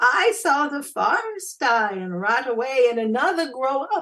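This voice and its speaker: A female-sounding voice does a put-on character voice at a high pitch. It moves at a moderate pace with very wide pitch swings. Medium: read story.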